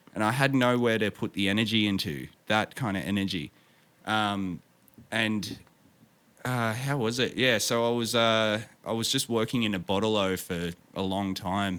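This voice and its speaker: The speaker has an Australian accent and talks at a moderate pace with ordinary pitch variation. There are long, frequent pauses, and the recording is very clean with a silent background. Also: man, fairly low pitch for a man. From Victoria, Australia. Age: 30s. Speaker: streamer and musician. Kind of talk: casual interview chat. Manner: halting, many fillers.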